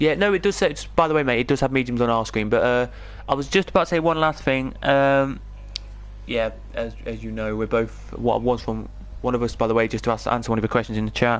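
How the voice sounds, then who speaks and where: A very fast-talking man with an English accent over a quiet background. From England. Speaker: esports race commentator. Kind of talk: live commentary.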